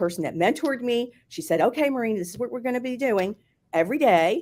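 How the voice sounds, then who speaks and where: The speaker has a Philadelphia accent. The pace is fairly quick. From US, Philadelphia. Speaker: former hotel marketing executive. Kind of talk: interview.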